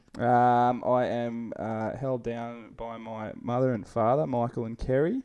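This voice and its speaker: A man with an Australian accent, dark, mellow tone, fairly slow pace and hardly any pauses. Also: medium pitch for a man, fairly even intonation. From Australia, NSW coast near Taree. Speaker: podcast co-host, board sports enthusiast. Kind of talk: casual chat.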